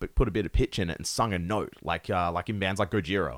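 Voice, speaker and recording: A man with an Australian accent and a fairly low pitch talks at a very fast pace. The recording is very clean with a silent background. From Perth, Western Australia. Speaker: metal musician. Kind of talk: casual chat.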